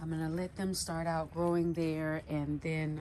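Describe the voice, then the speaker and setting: A woman speaks quietly in a very deep, low voice. Her pace is fairly slow. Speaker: home gardening vlogger. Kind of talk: casual garden tour vlog. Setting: outdoors in backyard garden. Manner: quiet, low voice.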